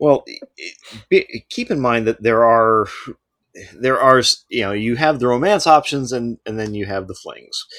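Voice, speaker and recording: A man's medium-pitched voice at a moderate pace, with ordinary pitch variation, long and frequent pauses, and a dry, close sound with no echo. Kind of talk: casual chat. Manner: halting, filler words.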